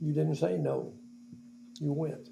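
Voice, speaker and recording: A man with an American accent speaks at a fairly high pitch. His voice is somewhat breathy and makes very wide pitch swings. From Crawford County, Indiana. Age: 80s+. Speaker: local elder, oral history interviewee. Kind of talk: interview answer.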